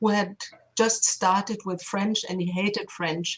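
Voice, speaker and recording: Medium in pitch, a woman's voice keeps fairly even intonation. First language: German. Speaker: linguistics professor. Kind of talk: interview.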